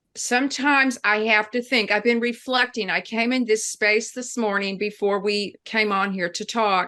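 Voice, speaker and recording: Hardly pausing, a woman with a fairly high pitch talks at a moderate pace. Her tone is bright and sharp, her intonation fairly even. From New Mexico. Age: 60s. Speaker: novelist. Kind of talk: interview.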